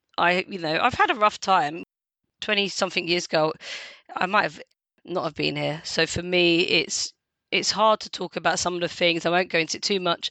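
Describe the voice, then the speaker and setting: A woman speaks with a strong London accent. Her pitch is fairly low and her pace moderate. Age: 40s. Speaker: lived experience ambassador. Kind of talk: casual interview chat. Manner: talkative, animated.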